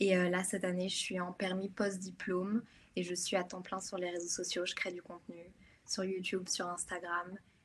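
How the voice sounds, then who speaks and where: Her delivery moves at a moderate pace. The woman's medium-pitched voice stays monotone and flat. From France/Belgium. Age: 20s. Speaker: content creator, student. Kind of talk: online conference interview.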